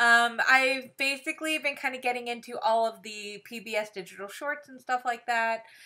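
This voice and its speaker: A woman with an American accent speaks in a high, bright, sharp voice at a moderate pace, with hardly any pauses. Her pitch varies in an ordinary way, her loudness swings widely, and the background is quiet. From Texas. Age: 40s. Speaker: livestream co-host, theater teacher. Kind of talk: casual chat. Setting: home livestream. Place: home room. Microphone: webcam.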